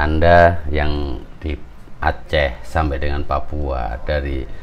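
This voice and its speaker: Over light background noise, a man speaks with a very deep, low pitch and ordinary pitch variation. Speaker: podcast host. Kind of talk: casual motivational talk. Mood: warm, encouraging. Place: home room. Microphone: phone near.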